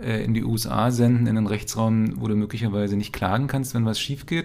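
Medium-pitched male speech with fairly even intonation. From Berlin, eastern Germany. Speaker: computer science professor. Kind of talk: interview. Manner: hesitant, many fillers.

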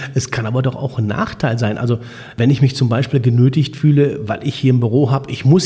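A man speaks at a medium pitch and a fairly quick pace with fairly even intonation, over noticeable background noise. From Münsterland, Germany. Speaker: podcast host. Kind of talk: casual interview.

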